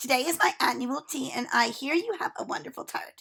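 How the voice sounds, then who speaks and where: A woman puts on a raspy, high-pitched character voice, talking at a fairly quick pace with very wide pitch swings. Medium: read story. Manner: haughty, bossy.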